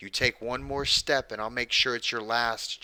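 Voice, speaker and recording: Bellowing in a put-on character voice, a man with a medium pitch speaks in a raised, projected voice at a moderate pace. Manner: bellowing, threatening.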